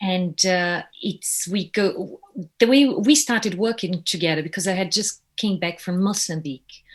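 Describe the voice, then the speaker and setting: A woman speaks at a moderate pace with a Brazilian accent. Her medium-pitched voice is somewhat breathy. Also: ordinary pitch variation. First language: Portuguese. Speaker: puppeteer, actress, voiceover artist. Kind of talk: casual interview chat.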